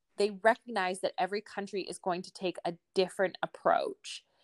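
A woman speaks in a normal speaking voice with a Canadian accent. Her pitch is medium and her pace moderate. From Alberta, Canada. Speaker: sustainable development professional. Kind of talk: interview.

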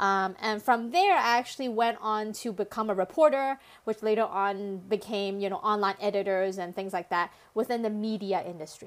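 A woman of medium pitch speaks with ordinary pitch variation on a very clean recording with a silent background. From Hong Kong, partly raised in Canada. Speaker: content marketing consultant. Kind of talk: interview. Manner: energetic.

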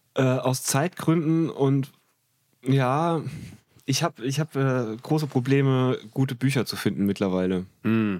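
A man's normal speaking voice at a medium pitch, with ordinary pitch variation and a fairly slow pace, on a very clean recording with a silent background. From Germany, Trier. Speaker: comedian and comedy writer. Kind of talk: casual chat.

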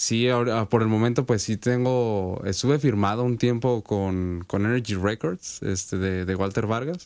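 A man speaks in a plain, everyday voice with a fairly low pitch and ordinary pitch variation. He goes at a fairly slow pace with hardly any pauses. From Sinaloa, Mexico. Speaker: rapper. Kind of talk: interview.

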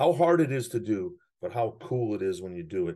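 Very wide pitch swings mark the speech of a man with an American accent, whose medium-pitched voice keeps a moderate pace. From US Midwest. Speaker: hockey coach and player development director. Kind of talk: interview.

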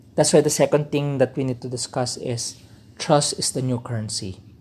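On a very clean recording with a silent background, a man speaks with a fairly high pitch and a somewhat breathy, dark, mellow tone. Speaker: podcast host. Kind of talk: solo talk, informal lecture.

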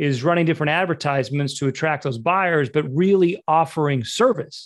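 Using a plain, everyday voice, a man with an American accent talks at a fairly high pitch with ordinary pitch variation. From Utah. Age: 40s. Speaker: real estate agent. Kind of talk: interview.

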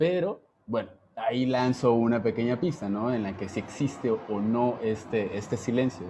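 Here a man speaks at a moderate pace in a medium pitch with a dark, mellow tone. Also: ordinary pitch variation. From Jalisco, Mexico (small town). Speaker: dancer. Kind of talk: casual chat.

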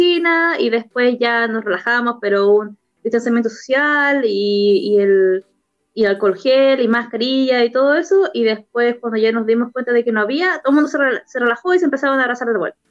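Over music in the background, a woman speaks at a moderate pace in a high pitch with ordinary pitch variation. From southern Chile, La Unión. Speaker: podcast guest. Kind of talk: casual interview.

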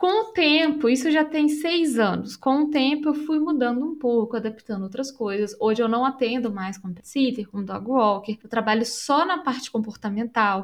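A woman's high-pitched voice with ordinary pitch variation and a moderate pace. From Brazil, Belo Horizonte (Minas Gerais). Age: 30s. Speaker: pet care professional. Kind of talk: casual interview chat.

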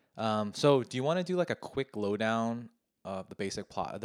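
This man has a plain, everyday voice, fairly low in pitch, with lively intonation and a fairly quick pace. The sound is dry and close with no echo, on a very clean recording with a silent background. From US, Korean American. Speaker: podcast host. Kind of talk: casual chat.

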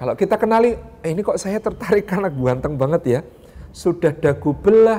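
The speech moves fairly quickly. Its pitch variation is ordinary. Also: man. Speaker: Islamic preacher. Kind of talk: sermon.

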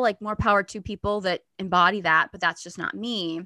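With an American accent, a woman speaks at a moderate pace in a bright, sharp tone, the sound dry and close with no echo. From US. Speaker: stand-up comedian and feminine energy coach. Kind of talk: casual interview.

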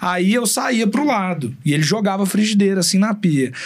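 Amid noticeable background noise, a man speaks in a high pitch with lively intonation. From Belo Horizonte, Minas Gerais, Brazil. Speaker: chef. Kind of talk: casual chat.

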